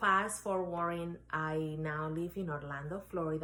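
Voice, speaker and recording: With a Spanish accent, a woman with a very deep, low pitch and a bright, sharp tone speaks at a moderate pace with fairly even intonation, amid audible room echo. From Dominican Republic, Santo Domingo. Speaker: real estate agent and life coach. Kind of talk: interview testimony.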